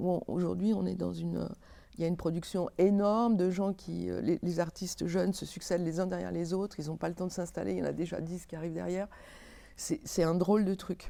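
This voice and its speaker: Fairly quick delivery comes through a very clean recording with a silent background. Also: woman. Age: 60s. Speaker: theatre lighting designer and director. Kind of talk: interview. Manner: halting, many hesitations.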